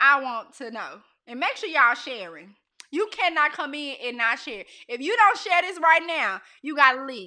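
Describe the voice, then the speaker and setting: A woman's raised, projected voice, high and bright with a sharp edge, with an animated tone, very wide pitch swings and a moderate pace. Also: big swings in loudness. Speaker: livestream host. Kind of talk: casual chat. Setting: Facebook Live stream.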